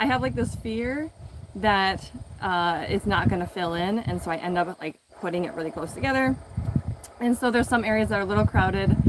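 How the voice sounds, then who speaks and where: Over noticeable background noise, a woman with a medium pitch talks at a fairly quick pace. Her pitch swings very widely. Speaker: home gardener and video creator. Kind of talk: casual live stream garden tour. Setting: outdoors in garden, live stream. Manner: mumbling; casual with many fillers.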